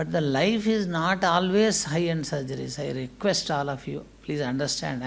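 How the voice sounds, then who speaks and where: A man with a fairly high pitch talks at a moderate pace, and room echo is audible. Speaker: hospital managing director. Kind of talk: conference speech.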